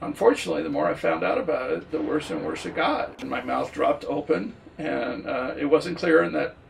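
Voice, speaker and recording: A man talks at a moderate speed against noticeable background noise. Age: 60s. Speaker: local resident. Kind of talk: interview.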